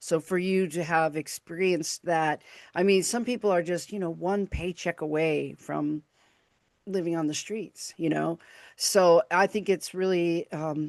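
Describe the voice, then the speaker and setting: Speaking with a Chicago accent, a woman uses a fairly low pitch over a quiet background. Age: 60s. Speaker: podcast host and radio broadcaster. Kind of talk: casual interview chat. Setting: live video stream.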